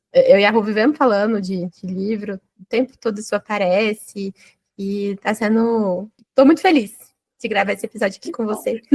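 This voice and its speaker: A woman talks in an ordinary speaking voice at a medium pitch, with ordinary pitch variation. The pace is moderate, and the sound is dry and close with no echo. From Minas Gerais, Brazil (Uberaba). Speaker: podcast host. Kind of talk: casual podcast interview.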